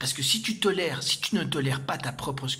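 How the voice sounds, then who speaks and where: Fairly high-pitched man with lively intonation and audible room echo. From Argentina. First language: Spanish (speaking French). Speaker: spiritual teacher. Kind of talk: lecture. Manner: halting.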